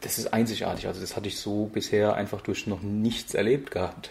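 With a dark, mellow tone and a somewhat breathy quality, a man speaks at a fairly quick pace in a fairly low pitch. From Germany. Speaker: couchsurfing host. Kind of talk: interview.

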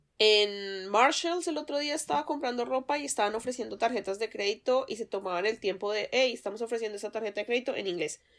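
Speaking with a Colombian accent at a very fast pace, the voice carries lively intonation and hardly any pauses. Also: woman, fairly high pitch for a woman. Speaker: podcast co-host. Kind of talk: casual chat.

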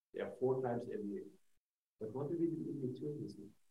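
A man speaks with a Norwegian accent. Audible room echo surrounds his voice. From Norway. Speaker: senior international official. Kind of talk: panel discussion.

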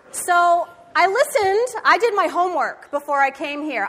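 A woman's raised, projected voice with an American accent, extremely high pitch and very wide pitch swings. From Michigan. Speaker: pastor. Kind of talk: sermon. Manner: animated.

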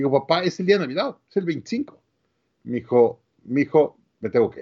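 A man speaks with lively intonation. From Mexico City, Mexico. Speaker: business coach and entrepreneur. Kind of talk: interview.

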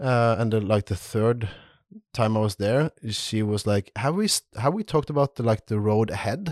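Against a quiet background with a dry, close sound and no echo, the speaker uses a Norwegian accent at a moderate pace with ordinary pitch variation. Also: man, medium pitch for a man. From Norway. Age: 30s. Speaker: leather crafter. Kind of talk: casual chat.

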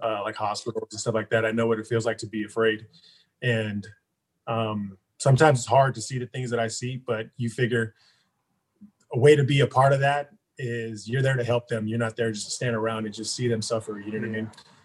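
In an American accent, a man speaks at a very fast pace and a medium pitch. His voice is somewhat breathy, with monotone, flat intonation. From Stockton, California. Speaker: registered nurse. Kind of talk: casual interview.

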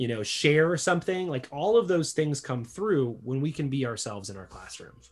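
Over a quiet background, a man speaks at a fairly high pitch and moderate pace. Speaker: podcast co-host; educator doing internship at elementary school. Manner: casual, frequently says "right" and "like".

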